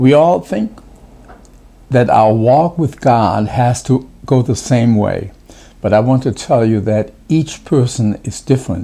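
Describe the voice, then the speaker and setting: With a German accent, a man speaks fairly slowly in a dark, mellow tone of medium pitch and ordinary pitch variation. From Germany. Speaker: pastor. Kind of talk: devotional talk. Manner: halting, many fillers.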